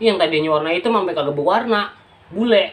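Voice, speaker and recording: A speaker with a Jakarta accent talks over noticeable background noise. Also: man. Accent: Betawi (outskirts dialect). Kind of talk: dialect demonstration monologue, scolding a younger sister. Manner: casual, chiding.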